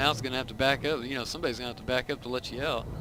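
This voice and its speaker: Soft-spoken and monotone, a man talks at a very fast pace with flat intonation and medium pitch. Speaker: gaming video creator. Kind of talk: gameplay commentary.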